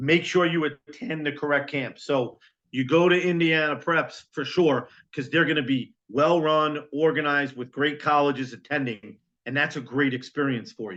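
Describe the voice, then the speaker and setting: A man's fairly high voice with ordinary pitch variation against a quiet background. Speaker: college recruiting consultant. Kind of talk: webinar presentation. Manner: fast.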